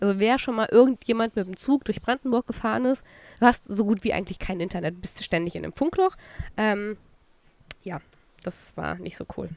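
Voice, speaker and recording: At a fairly quick pace, a woman with a fairly high pitch and ordinary pitch variation speaks with big swings in loudness and long, frequent pauses. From Saxony, eastern Germany. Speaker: podcast co-host. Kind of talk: casual chat.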